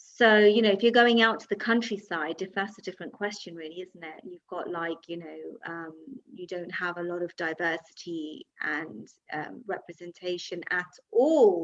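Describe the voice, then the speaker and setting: A woman with a London accent, ordinary pitch variation and big swings in loudness. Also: fairly low pitch for a woman, moderate pace. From London, England. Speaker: podcast host. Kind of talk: interview conversation.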